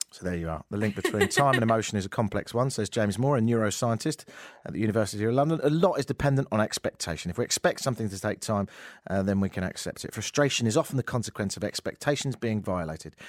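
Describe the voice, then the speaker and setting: Recorded very cleanly with a silent background and a dry, close sound with no echo, a man with an English accent speaks at a very fast pace and medium pitch, with lively intonation and an animated tone. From England. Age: 50s. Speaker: radio host. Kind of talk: casual radio talk show. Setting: radio studio. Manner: animated, joking.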